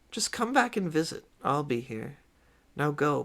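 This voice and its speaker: A man's put-on character voice, cackling at a fairly high pitch, with very wide pitch swings at a moderate pace. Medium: read story. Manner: doting, archaic-tinged.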